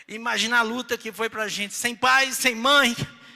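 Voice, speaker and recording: At a fairly slow pace, a man speaks in a raised, projected voice with a bright, sharp tone. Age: 60s. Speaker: pastor. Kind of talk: sermon.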